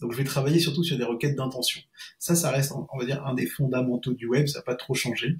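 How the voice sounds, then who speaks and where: A man talks at a very fast pace. His intonation is fairly even. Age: 40s. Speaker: freelance SEO consultant; guest. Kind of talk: interview. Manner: halting. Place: home room. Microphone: earbuds.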